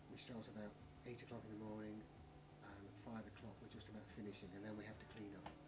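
A man talking at a fairly quick pace, with music playing in the background. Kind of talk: interview answer. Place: office. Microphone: camera far.

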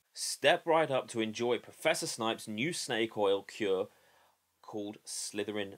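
With lively intonation, a man delivers his words at a moderate pace. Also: quiet background. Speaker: product reviewer. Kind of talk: casual review vlog. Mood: unimpressed, critical. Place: home room. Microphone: webcam.

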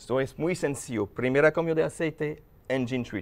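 Fairly high in pitch, a man speaks here. He keeps a moderate pace with ordinary pitch variation. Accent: non-native. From France, Paris. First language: French (speaking Spanish). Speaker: lubricant company manager. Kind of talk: TV interview. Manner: halting.

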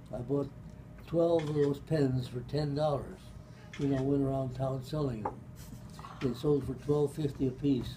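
Long, frequent pauses break up a man's fairly slow, monotone delivery. Noticeable background noise runs underneath. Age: 80s+. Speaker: retired pharmacist. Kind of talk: family storytelling. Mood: relaxed, amused. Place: meeting room. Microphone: camera far.

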